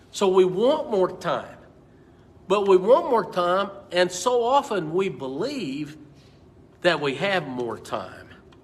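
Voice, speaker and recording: At a very slow pace with long, frequent pauses, a man speaks at a high pitch. His voice makes very wide pitch swings amid audible room echo. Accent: American. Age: 60s. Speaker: pastor. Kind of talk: Bible study teaching. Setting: church. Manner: repetitive, stammering restarts.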